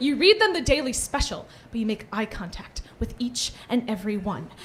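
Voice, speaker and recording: A woman at a moderate pace, with lively intonation. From US Midwest, St. Louis. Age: 20s. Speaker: stand-up comedian, college student. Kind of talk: stand-up. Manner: hesitant, many fillers.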